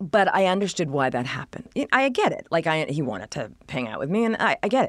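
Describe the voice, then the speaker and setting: A woman at medium pitch with an American accent, vocal fry, a very fast pace, very wide pitch swings and big swings in loudness. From Boston suburbs, US. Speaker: journalist and author. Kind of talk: casual interview chat.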